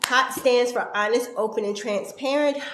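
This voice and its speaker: Typical pitch movement, with clearly audible background noise and an audible echo of the room. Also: woman. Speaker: talk show host. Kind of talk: interview show intro.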